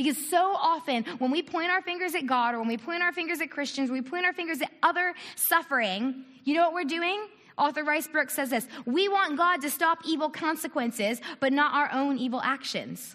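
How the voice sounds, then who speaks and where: A woman's raised, projected voice, high-pitched, with ordinary pitch variation and a fairly quick pace. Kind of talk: church talk. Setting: church with audience.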